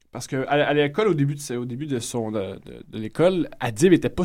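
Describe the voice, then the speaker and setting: A man in a normal speaking voice, medium pitch, moderate pace. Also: very clean recording, silent background. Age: 20s. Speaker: comedian. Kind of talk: casual chat.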